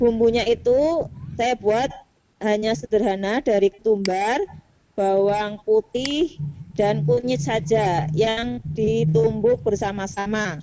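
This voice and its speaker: Using a Central Javanese accent, a woman speaks at a very slow pace with lively intonation. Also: medium pitch for a woman, very even loudness. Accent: Brebes accent (Central Java), noticeable. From Brebes, Central Java, Indonesia. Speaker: teacher presenting in a teachers' video conference. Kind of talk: cooking demonstration presentation. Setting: video call.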